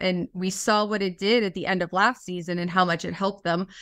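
A woman of medium pitch speaks with a Western Pennsylvania accent on a very clean recording with a silent background. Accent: Western Pennsylvania American. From Pittsburgh, US. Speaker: sideline reporter. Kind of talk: interview.

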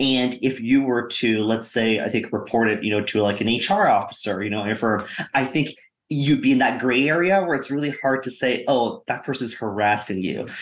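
Audible room echo surrounds a man talking at a medium pitch. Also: ordinary pitch variation, moderate pace. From Canada. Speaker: investor. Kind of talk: panel discussion.

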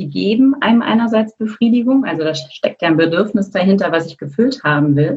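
Her voice medium-pitched and somewhat breathy, a woman talks at a fairly quick pace with hardly any pauses, lively intonation and big swings in loudness. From Germany, Berlin. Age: 50s. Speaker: coach and former corporate lawyer. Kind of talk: podcast interview.

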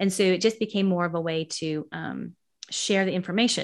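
Speaking at a fairly quick pace with an American accent, a woman uses an unremarkable speaking voice at medium pitch with fairly even intonation, recorded very cleanly over a silent background. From US West Coast, San Francisco Bay Area. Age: 50s. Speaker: author and educator. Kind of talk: interview.

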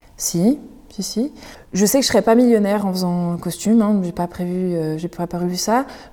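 At a fairly quick pace, a normal speaking voice moves with ordinary pitch variation. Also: woman. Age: 20s. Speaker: costume maker and artisan. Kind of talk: casual interview. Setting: in her workshop.

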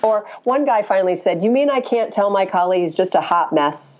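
Over noticeable background noise, a woman talks at a moderate pace with a fairly high pitch and lively intonation. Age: 50s. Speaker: communications consultant and author. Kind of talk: interview.

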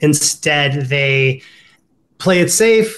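A man with an American accent and a fairly high pitch. His voice is somewhat breathy against a quiet background. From Ohio. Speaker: dating coach. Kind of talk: casual interview.

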